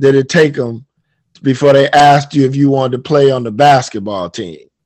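Over a quiet background, a man talks at a fairly high pitch. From Detroit, US. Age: 50s. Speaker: podcast co-host. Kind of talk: casual discussion.

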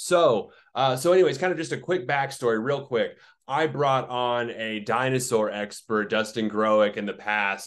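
In an American accent, a man with an unremarkable speaking voice talks at a moderate pace. His pitch varies in an ordinary way, and the background is quiet. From Oklahoma. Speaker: podcast host. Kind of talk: interview.

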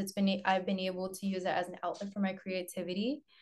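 Someone with an American accent talks at a very fast pace, somewhat breathy. The intonation stays monotone and flat. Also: woman. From Lynn, Massachusetts, US. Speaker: nurse, model and dancer. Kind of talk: casual chat.

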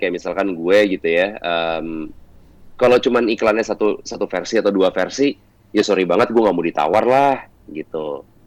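At a fairly quick pace, a man talks in an ordinary speaking voice with a fairly low pitch. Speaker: radio announcer and voice-over talent. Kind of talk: casual chat.

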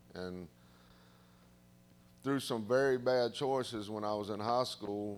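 A man with a Southern US accent, fairly low in pitch, at a fairly slow pace with fairly even intonation. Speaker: guest speaker sharing recovery testimony. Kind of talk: testimony. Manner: halting, many fillers.

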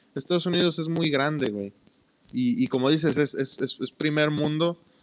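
The speaker has a plain, everyday voice with lively intonation. The pace is moderate. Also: man. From Mexico, Ciudad del Carmen, Campeche. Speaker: podcast co-host. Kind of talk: casual chat.

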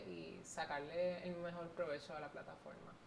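The room echo is audible. Background noise is noticeable. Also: woman. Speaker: beauty pageant contestant. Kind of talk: interview.

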